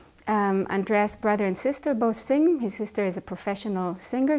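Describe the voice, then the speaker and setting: A woman with an Israeli accent at a moderate pace. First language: Hebrew. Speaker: pianist. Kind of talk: interview.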